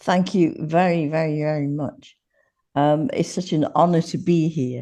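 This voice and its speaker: A woman's dark, mellow voice at a fairly slow pace, over a quiet background. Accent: English. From Yorkshire, northern England. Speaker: podcast guest, former teacher. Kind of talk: podcast interview.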